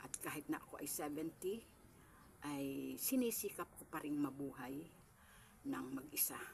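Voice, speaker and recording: A woman talks at a fairly slow pace with a very deep, low pitch and vocal fry, her pitch varying in an ordinary way. Her loudness swings widely, and her pauses are long and frequent. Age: 70s. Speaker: small store owner vlogger. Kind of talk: casual home tour vlog. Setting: at home in her small store. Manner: polite, addressing viewers directly.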